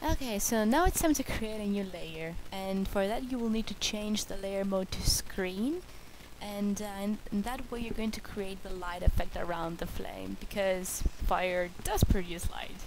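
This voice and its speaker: In a non-native accent, a woman of medium pitch speaks at a fairly slow pace with ordinary pitch variation, and audible room echo surrounds her voice. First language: not English. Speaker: art tutorial creator. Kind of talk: tutorial. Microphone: bad microphone.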